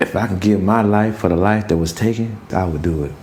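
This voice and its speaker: Over noticeable background noise and audible room echo, a man with a fairly low pitch speaks with lively intonation. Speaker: prison inmate. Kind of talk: testimony. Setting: prison.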